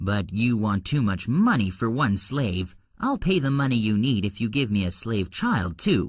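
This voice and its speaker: A man puts on a character voice at medium pitch with lively intonation. His loudness stays very even, and his pace is moderate. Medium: read story. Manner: harsh, contemptuous.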